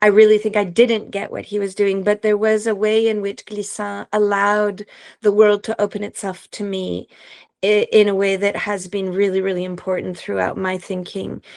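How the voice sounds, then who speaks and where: Against a quiet background, a woman of medium pitch speaks at a moderate pace in a French accent with monotone, flat intonation. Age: 50s. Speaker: professor and philosopher. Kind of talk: interview.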